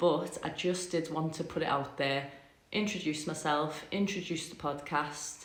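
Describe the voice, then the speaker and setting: A woman's very deep, low voice, fairly slow and fairly even in intonation, with noticeable background noise. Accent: Liverpool. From Liverpool. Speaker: podcast host. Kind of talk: casual talk to camera. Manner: chatty, rambling.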